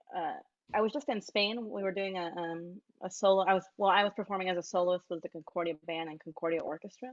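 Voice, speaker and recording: A woman at a medium pitch, talking at a very fast pace with ordinary pitch variation. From Texas, Mexican-American household. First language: Spanish. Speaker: trumpeter. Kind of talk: interview.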